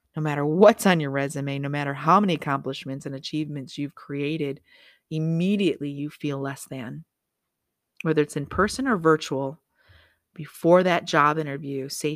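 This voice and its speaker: A woman's very deep, low pitch in an animated tone with ordinary pitch variation. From Michigan. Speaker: motivational speaker and podcast host. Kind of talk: motivational monologue.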